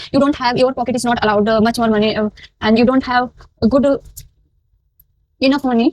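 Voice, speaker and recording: A woman's high-pitched voice has a dry, close sound with no echo. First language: Hindi. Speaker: makeup artist. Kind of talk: tutorial. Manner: halting.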